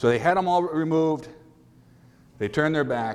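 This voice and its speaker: A man's ordinary pitch variation comes through with audible room echo. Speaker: donkey rescuer. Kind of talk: conference talk. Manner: loud.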